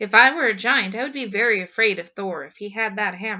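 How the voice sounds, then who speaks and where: Using a put-on character voice, a woman rattles along at a very fast pace with a fairly high pitch. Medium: read story.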